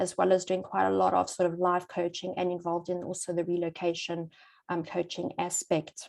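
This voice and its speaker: A woman with a South African accent speaks at a medium pitch and a fairly quick pace, her intonation flat and monotone. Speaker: psychologist and relocation coach. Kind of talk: webinar presentation.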